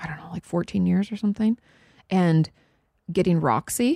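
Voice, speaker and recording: The voice has a dark, mellow tone and ordinary pitch variation at a fairly quick pace. The sound is dry and close with no echo. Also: woman. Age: 30s. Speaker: licensed therapist. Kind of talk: casual chat.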